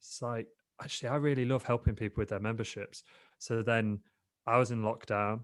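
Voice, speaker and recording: A fairly low male voice with a British accent, fairly quick delivery, and a very clean recording with a silent background. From England, Lincoln. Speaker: digital entrepreneur, podcast guest. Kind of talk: casual interview chat.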